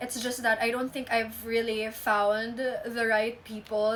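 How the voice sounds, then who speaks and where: A woman with a fairly high voice talks at a moderate speed amid noticeable background noise. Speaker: vlogger. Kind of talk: casual monologue.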